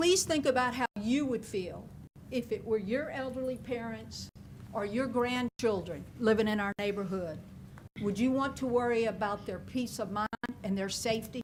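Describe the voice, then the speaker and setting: With a Louisiana accent, a woman speaks at a moderate pace in a fairly high voice, with ordinary pitch variation. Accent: southern US (Louisiana). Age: 60s. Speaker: public commenter, retired teacher. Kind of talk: prepared public comment read from notes. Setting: public meeting.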